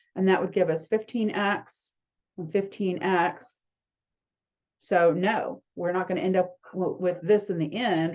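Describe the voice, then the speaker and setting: A woman with an unremarkable speaking voice talks at a fairly slow pace and medium pitch, her intonation fairly even. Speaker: math instructor. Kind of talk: lecture.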